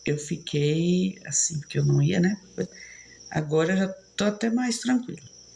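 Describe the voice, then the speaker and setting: A woman's fairly low, dark and mellow voice comes out somewhat breathy, with lively intonation at a fairly slow pace. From São Paulo, Brazil. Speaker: live streamer. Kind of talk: casual chat.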